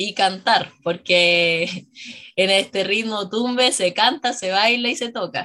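A woman talks at a medium pitch with ordinary pitch variation. Her tone is bright and sharp. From Chile, La Serena. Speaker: dancer. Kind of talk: radio interview. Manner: halting.

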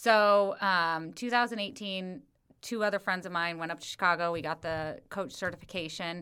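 A plain, everyday voice from a woman at a medium pitch, ordinary pitch variation and moderate pace on a very clean recording with a silent background. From US Midwest. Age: 40s. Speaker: running coach. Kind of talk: casual chat. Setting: in person.

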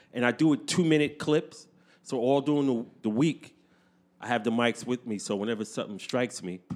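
Speaking in a New York accent, a man keeps a medium pitch, ordinary pitch variation and a fairly quick pace. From New York City, Brooklyn. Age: 50s. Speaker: podcaster and beatmaker. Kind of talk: casual chat. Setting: studio.

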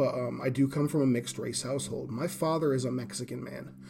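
With music in the background, a man with an American accent talks at a very fast pace. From Rhode Island, US. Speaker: poet and live-stream host. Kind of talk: casual solo live stream, unscripted talk. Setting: Instagram live stream answering comments. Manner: unscripted, raw, conversational with filler words.

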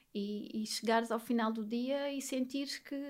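This woman's voice is high-pitched, with monotone, flat intonation. She speaks at a moderate pace. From Alentejo, Portugal (near Beja). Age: 30s. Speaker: psychologist. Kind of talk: podcast interview, personal testimony.

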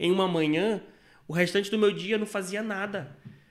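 The voice is a man's. Its pitch shows ordinary variation. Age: 20s. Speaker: stock market trader. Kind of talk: interview.

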